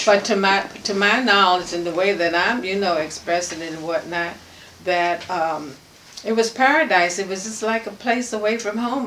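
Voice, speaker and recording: A relaxed woman's voice of medium pitch with an American accent, at a moderate pace, over noticeable background noise. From Washington, DC. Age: 80s+. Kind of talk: interview answer. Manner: reminiscing, relaxed.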